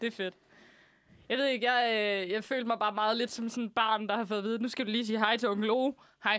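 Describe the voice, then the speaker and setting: A woman speaks in a fairly high voice at a very fast pace. Her intonation is monotone and flat. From southern Zealand, Denmark. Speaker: radio host. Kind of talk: casual chat. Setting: studio.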